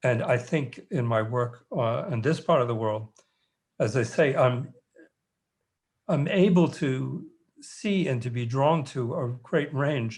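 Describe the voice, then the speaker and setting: Speaking very slowly with long, frequent pauses, a man with an American accent uses a medium pitch, ordinary pitch variation and a somewhat breathy sound. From New York. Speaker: anthropologist and author. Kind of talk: panel discussion. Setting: video call. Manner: halting.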